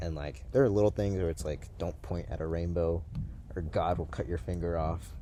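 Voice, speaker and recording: A man's very deep, low, dark and mellow voice with an American accent, ordinary pitch variation and a moderate pace, with audible room echo. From US, Massachusetts, Haitian family. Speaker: paranormal video host. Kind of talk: casual chat. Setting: outdoors in a swamp at night.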